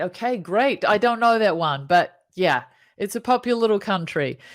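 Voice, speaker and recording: In a New Zealand accent, a woman speaks at a moderate pace with lively intonation on a very clean recording with a silent background. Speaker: happiness coach. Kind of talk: casual interview.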